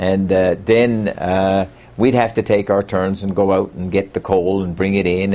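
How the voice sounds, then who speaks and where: Here a man speaks with a Newfoundland accent at a fairly low pitch, his tone dark and mellow. His pace is fairly slow and his intonation monotone and flat. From Newfoundland, Bay Roberts. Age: 60s. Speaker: local storyteller. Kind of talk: oral history interview. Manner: halting, many fillers.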